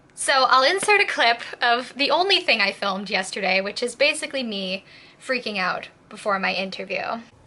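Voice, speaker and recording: Noticeable background noise sits behind a woman with a fairly high pitch. She moves at a moderate pace, her pitch swinging very widely. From southern Quebec. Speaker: vlogger. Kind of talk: casual vlog storytelling. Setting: at home, early morning. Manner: quiet.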